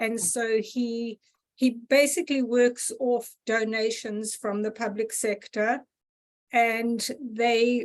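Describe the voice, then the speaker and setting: A woman's fairly high voice with a South African accent and monotone, flat intonation. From South Africa, Gauteng. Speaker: audience member. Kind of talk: casual chat.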